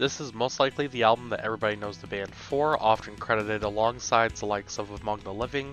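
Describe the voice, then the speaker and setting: Music sounds in the background. Over it, a man talks with fairly even intonation. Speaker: music reviewer. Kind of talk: album review narration.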